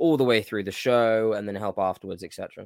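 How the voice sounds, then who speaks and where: A man speaks with a fairly low pitch. The sound is dry and close with no echo, on a very clean recording with a silent background. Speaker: podcast host and amateur wrestler. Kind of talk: casual banter podcast. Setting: live stream. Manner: joking, animated.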